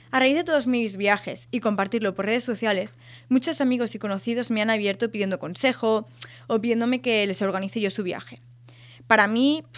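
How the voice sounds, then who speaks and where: In a very clean recording with a silent background, a woman talks at a fairly quick pace with a fairly high pitch. She has an ordinary speaking voice with ordinary pitch variation. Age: 20s. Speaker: podcast host, student and photographer. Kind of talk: scripted monologue.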